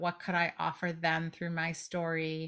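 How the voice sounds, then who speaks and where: At a fairly slow pace, a woman speaks in a bright, sharp tone and a fairly low pitch, on a very clean recording with a silent background. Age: 50s. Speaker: author and book coach. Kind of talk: interview.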